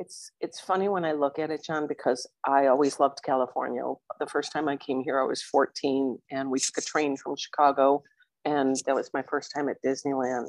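A woman's very deep, low voice at a moderate pace, with fairly even intonation, a dry, close sound with no echo, and a quiet background. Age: 60s. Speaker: widow, coaching client. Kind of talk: interview.

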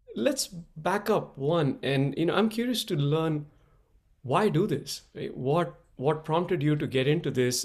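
Speaking at a moderate pace, a man has an ordinary speaking voice and lively intonation. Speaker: podcast host. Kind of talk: casual interview chat.

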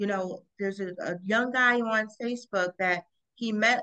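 An unremarkable speaking voice goes at a fairly slow pace with fairly even intonation. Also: woman. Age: 40s. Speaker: podcast host. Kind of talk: casual chat.

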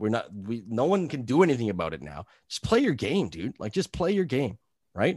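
With a Canadian accent and very wide pitch swings, the speaker keeps a moderate pace over a quiet background. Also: man. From New Brunswick, Canada. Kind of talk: casual chat. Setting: video call.

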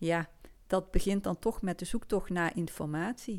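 A woman with a Limburg accent at a moderate pace, on a very clean recording with a silent background. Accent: Limburg Dutch, soft G. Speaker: podcast host. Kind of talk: personal story monologue. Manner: hesitant, many fillers.

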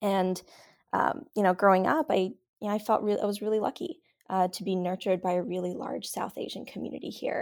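A woman with an American accent speaks at a fairly quick pace in a plain, everyday voice. Her medium pitch shows ordinary variation on a very clean recording with a silent background. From New York City (Glen Oaks, Queens). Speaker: political candidate and organizer. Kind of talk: interview.

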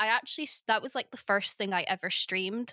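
A woman's fairly high pitch with a bright, sharp tone and ordinary pitch variation, in a very clean recording with a silent background and a dry, close sound with no echo. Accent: Scottish. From northeast Scotland. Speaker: podcast co-host. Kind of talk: interview.

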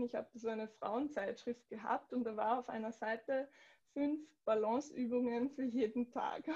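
A woman's high pitch with a dark, mellow tone and fairly even intonation. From Austria, southern Upper Austria. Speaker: yoga teacher. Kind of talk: interview.

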